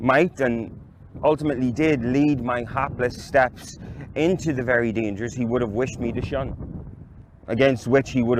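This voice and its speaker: A man speaks at medium pitch over noticeable background noise. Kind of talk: literary reading. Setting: outdoors.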